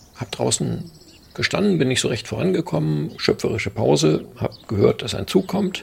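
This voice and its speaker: There is noticeable background noise behind the speech. A man talks at a moderate pace. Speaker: local journalist, eyewitness. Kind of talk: interview testimony.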